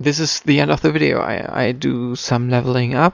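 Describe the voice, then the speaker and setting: With a German accent, a man talks at a moderate pace using lively intonation. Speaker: video game commentator. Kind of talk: post-recorded gameplay commentary. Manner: halting, many fillers and repetitions.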